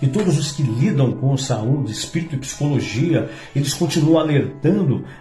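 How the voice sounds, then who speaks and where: Music plays in the background as the voice moves at a moderate pace. Its pitch varies in an ordinary way. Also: man. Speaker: commercial announcer and TV presenter. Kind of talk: motivational religious talk. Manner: casual, conversational.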